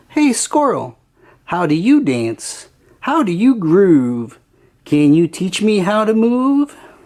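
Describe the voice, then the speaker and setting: A female-sounding put-on character voice at a middle pitch swings very widely in pitch while keeping a fairly slow pace. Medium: read story.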